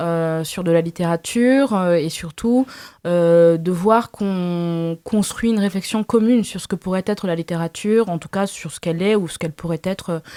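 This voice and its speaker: A woman speaks at a moderate pace. The recording is very clean, with a silent background and a dry, close sound with no echo. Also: fairly low pitch for a woman, ordinary pitch variation. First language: Lingala (speaking French). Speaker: novelist. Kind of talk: interview. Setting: literary festival press area. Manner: halting, many fillers.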